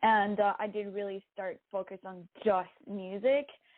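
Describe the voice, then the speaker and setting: Here a woman talks with a Quebec accent. Her pitch is fairly high. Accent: French-Canadian accent in English. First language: French. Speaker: singer-songwriter. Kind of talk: interview. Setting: podcast interview.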